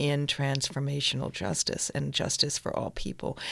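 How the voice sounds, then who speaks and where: An American accent on a very clean recording over a silent background. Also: woman. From Northampton, Massachusetts. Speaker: playwright and theater director. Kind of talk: interview.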